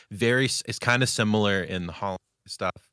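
In a very clean, dry, close recording with a silent background and no echo, a man with a fairly low pitch talks very fast in a bright, sharp tone. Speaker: podcast co-host. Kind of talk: casual chat. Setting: live stream with chat.

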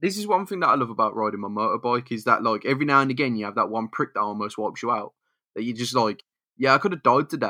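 A man talks at a very fast pace with lively intonation. The sound is dry and close with no echo, and the background is quiet. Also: medium pitch for a man. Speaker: podcast co-host. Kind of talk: casual chat.

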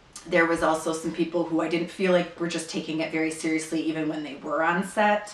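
A woman speaks in a fairly low voice at a moderate pace. Noticeable background noise runs behind her. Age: 40s. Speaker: actress. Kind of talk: recorded interview answers. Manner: hesitant with frequent fillers.

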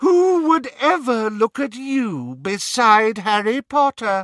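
A man cackles in a put-on character voice, high-pitched and very slow, with a dry, close sound with no echo and a quiet background. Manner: cackling, mocking.

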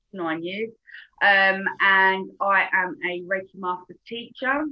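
Ordinary pitch variation marks this voice in a British accent. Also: woman. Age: 40s. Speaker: reiki teacher and coach. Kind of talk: casual interview.

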